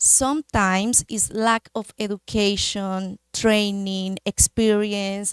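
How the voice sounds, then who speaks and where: In a Spanish accent, a woman of medium pitch talks at a very slow pace with hardly any pauses. Her intonation is monotone and flat. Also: dry, close sound with no echo. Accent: Spanish accent, non-native English. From Colombia, Manizales. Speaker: medical device industry representative. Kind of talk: conference talk. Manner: hesitant, with fillers.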